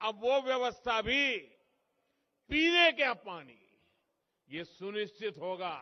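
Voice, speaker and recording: A high-pitched male voice with very wide pitch swings, big swings in loudness and long, frequent pauses. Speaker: politician. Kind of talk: political rally speech.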